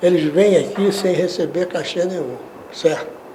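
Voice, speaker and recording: Audible room echo and noticeable background noise accompany speech at a moderate pace. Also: man. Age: 70s. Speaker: journalist and composer, TV producer. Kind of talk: interview.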